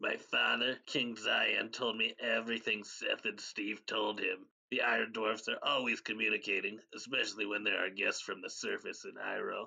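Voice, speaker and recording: A raspy, put-on character voice from a man, with hardly any pauses. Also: moderate pace. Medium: audio drama.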